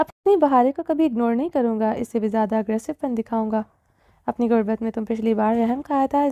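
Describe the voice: Reading aloud plainly, the speaker varies pitch in an ordinary way.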